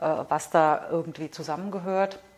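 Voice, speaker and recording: Using an ordinary speaking voice, a woman talks at fairly low pitch with fairly even intonation. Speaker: museum curator and archaeologist. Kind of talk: casual interview.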